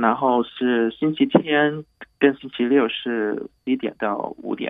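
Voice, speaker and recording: Very slow male speech at a medium pitch, with ordinary pitch variation. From Hong Kong. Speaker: doctor at an urgent care clinic. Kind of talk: radio interview.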